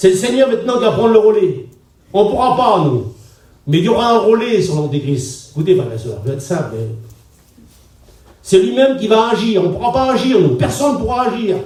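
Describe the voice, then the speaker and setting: A high-pitched man at a fairly quick pace, with very wide pitch swings, long, frequent pauses and audible room echo. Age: 60s. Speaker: pastor. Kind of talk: sermon. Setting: church gathering with congregation. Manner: conversational, directly addressing audience.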